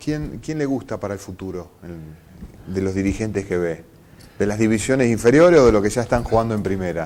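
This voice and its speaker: With lively intonation, a man speaks fairly quickly in an unremarkable speaking voice at a fairly low pitch. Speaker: TV interview host. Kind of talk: interview.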